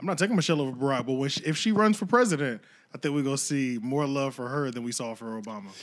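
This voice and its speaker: In an American accent, the voice rushes along at a very fast pace with lively intonation. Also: man, fairly high pitch for a man. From Pennsylvania. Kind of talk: casual banter.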